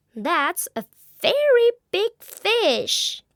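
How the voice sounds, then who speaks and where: In a put-on character voice, a woman speaks at an extremely high pitch. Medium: read story.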